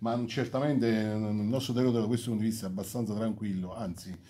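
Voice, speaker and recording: A man with fairly low pitch and a dark, mellow, somewhat breathy tone talks at a very fast pace with fairly even intonation over light background noise. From Campania. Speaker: mayor. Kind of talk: press conference speech. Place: meeting room. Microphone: phone near.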